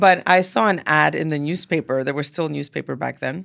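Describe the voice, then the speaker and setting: A woman's very deep, low-pitched voice with vocal fry, ordinary pitch variation and a moderate pace, on a very clean recording with a silent background. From Montreal, Quebec (Canada). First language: Greek. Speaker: dance studio owner and entrepreneur. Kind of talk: interview.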